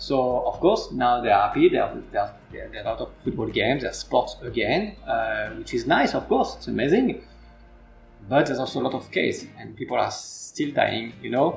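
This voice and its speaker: Music plays in the background as a man with a French accent speaks at a moderate pace. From France. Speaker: football academy coach. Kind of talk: interview. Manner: halting.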